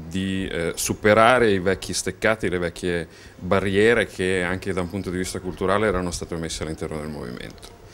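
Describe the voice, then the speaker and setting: Light background noise sits under speech with ordinary pitch variation, delivered at a moderate pace. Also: man. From Romagna, northern Italy. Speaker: politician. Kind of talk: interview. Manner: halting, frequent hesitations. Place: office. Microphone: handheld.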